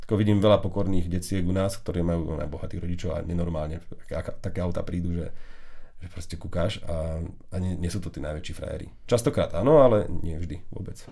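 Fairly quick, somewhat breathy speech in a dark, mellow tone, with fairly even intonation and audible room echo. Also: man, very deep, low pitch for a man. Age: 30s. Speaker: tech podcast host. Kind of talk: casual chat. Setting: studio. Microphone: new microphone setup.

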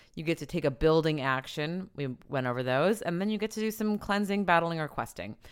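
An ordinary speaking voice with lively intonation moves at a fairly quick pace on a very clean recording with a silent background. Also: woman, fairly low pitch for a woman. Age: 40s. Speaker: board game podcast co-host. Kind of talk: casual chat.

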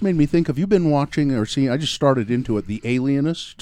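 A dark, mellow tone at a very fast pace. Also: man. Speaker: podcast host. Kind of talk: casual interview chat.

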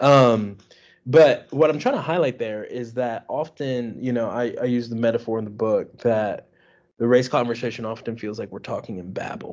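A man with an American accent talks at a moderate pace and medium pitch, an unremarkable speaking voice. His loudness swings widely while his intonation stays fairly even. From Washington, D.C. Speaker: pastor and author. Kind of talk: casual interview.

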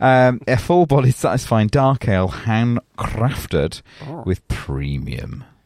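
Speaking very slowly with a Leeds accent, a man's pitch swings very widely. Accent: Leeds, northern English. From Leeds, England. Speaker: podcast host. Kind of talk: casual banter, podcast chat. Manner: joking, laughing.

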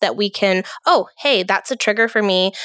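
An unremarkable speaking voice from a woman, medium in pitch, at a moderate pace. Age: 30s. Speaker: therapist and podcast host. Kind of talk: casual chat.

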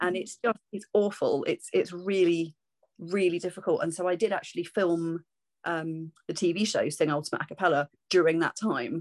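A woman with a southern English accent speaks at a moderate pace, with fairly low pitch and fairly even intonation. The sound is dry and close with no echo. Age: 40s. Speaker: singer-songwriter and vocal teacher. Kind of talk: interview. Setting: video call.

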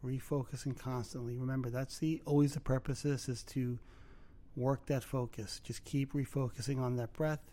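A man's tone is dark and mellow. His intonation stays monotone and flat. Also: medium pitch for a man, moderate pace. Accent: Brooklyn. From Brooklyn, New York. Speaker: podcast host, mindfulness teacher. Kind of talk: guided meditation; casual chat. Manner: halting.

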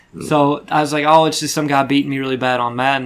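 A fairly high-pitched man talks at a very fast pace. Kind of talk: casual chat. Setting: studio.

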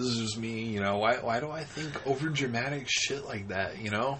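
Through noticeable background noise, the speaker talks at a moderate pace with lively intonation. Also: man. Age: 30s. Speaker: podcast co-host. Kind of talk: casual chat.

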